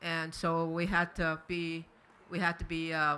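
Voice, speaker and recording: This woman has a bright, sharp tone and a fairly low pitch. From northern Quebec, Cree (James Bay area). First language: Cree. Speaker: residential school survivor. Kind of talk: testimony. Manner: halting, many repetitions and fillers.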